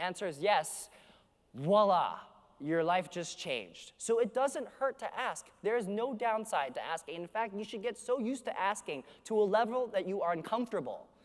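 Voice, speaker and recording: Loud and energetic, a man with a Canadian accent talks at a moderate pace in a high voice, his animated tone and lively intonation captured in a very clean recording with a silent background. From Canada, Vancouver. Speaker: keynote speaker. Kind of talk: conference keynote speech. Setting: stage with audience. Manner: energetic, animated.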